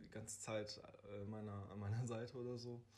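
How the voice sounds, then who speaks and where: A man talks at a moderate pace. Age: 20s. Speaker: social worker. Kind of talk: casual interview.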